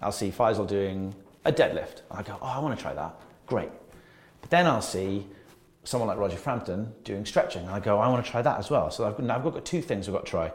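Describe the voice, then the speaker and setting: Somewhat breathy speech at a fairly quick pace, with lively intonation. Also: man, medium pitch for a man. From Wales. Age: 30s. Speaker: personal trainer. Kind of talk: casual chat.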